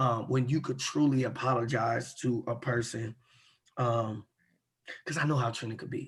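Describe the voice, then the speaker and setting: Quiet and somewhat breathy, a man speaks at a moderate pace with long, frequent pauses. His medium-pitched voice keeps a fairly even intonation. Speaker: podcast co-host. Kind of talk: casual chat. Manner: lowered voice, speaking quietly.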